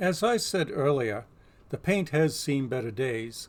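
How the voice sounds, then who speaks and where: In a plain, everyday voice, a man with a fairly high pitch talks at a fairly slow pace with lively intonation. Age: 60s. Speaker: bike reviewer. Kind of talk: product review vlog. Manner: casual, conversational.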